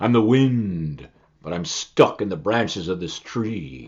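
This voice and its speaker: In a booming, put-on character voice, a man speaks at a fairly slow pace. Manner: pleading, calling out.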